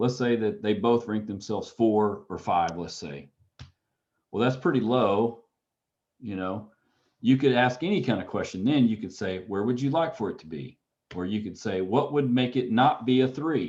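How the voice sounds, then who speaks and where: His pitch sits in the medium range. The man's intonation is lively. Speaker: counseling instructor. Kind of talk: lecture. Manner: fast.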